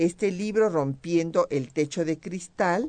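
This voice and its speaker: A very slow, very deep, low-pitched woman's voice, dark and mellow in tone with lively intonation. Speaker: radio host, historian. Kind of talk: educational radio conversation.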